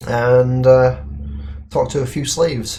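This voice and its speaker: Somewhat breathy and at a medium pitch, a man speaks at a very slow pace with monotone, flat intonation. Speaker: let's play gamer. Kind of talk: gameplay commentary. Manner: halting with frequent fillers.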